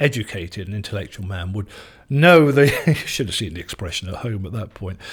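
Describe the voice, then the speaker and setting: A somewhat breathy man is heard on a very clean recording with a silent background. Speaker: former radio DJ, news correspondent; interviewee giving advice. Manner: hesitant, uses fillers.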